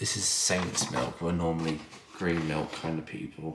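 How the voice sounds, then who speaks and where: Against noticeable background noise, a man with a very deep, low pitch talks at a moderate pace. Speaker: father vlogger. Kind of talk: casual vlog chat. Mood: cheerful, hushed morning surprise. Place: home room. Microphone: phone near.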